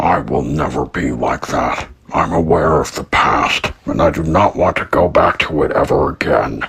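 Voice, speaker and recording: A man in a put-on character voice speaks at a moderate pace with a very deep, low pitch and hardly any pauses. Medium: audio drama. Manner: stern, commanding.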